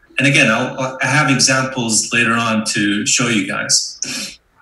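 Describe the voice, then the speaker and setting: Audible room echo surrounds a man who talks at a fairly slow pace with fairly even intonation. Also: very even loudness. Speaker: amateur astronomer and club member giving a talk; presenter. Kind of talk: technical presentation. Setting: video call. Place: home room. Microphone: video call.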